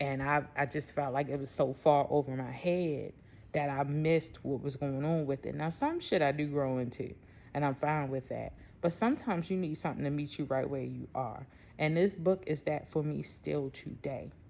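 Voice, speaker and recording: Her voice sits very deep and low, with a dark, mellow tone. The woman talks with a Baltimore accent and fairly even intonation. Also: moderate pace. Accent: Baltimore way of talking. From US, Baltimore. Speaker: spiritual self-love coach. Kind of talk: casual vlog monologue. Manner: casual, conversational.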